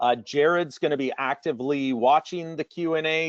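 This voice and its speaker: In a normal speaking voice with a Canadian accent, a man talks at a moderate pace with ordinary pitch variation. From Canada. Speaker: marketing staff, webinar presenter. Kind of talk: business webinar presentation. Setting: online webinar.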